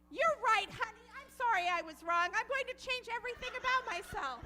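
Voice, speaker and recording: Clear music plays behind a woman doing a squeaky, put-on character voice at an extremely high pitch. She talks fairly quickly with lively intonation. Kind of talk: comic overacting. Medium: stage play.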